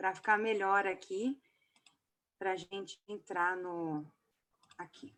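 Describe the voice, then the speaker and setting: A woman of medium pitch speaks very slowly with ordinary pitch variation and long, frequent pauses. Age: 30s. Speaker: pastor and theology teacher. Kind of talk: lecture.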